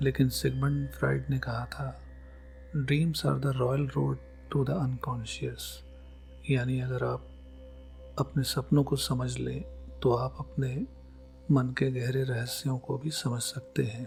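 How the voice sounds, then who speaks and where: A man speaks in a calm tone with long, frequent pauses. Music plays in the background. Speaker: psychology educator. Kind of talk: scripted narration.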